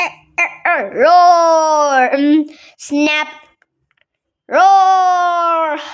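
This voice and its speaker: A woman's put-on character voice at an extremely high pitch. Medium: read story.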